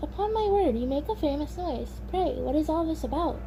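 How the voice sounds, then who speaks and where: A put-on character voice runs at a fairly quick pace. Clear background noise sits behind it. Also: woman. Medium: read story.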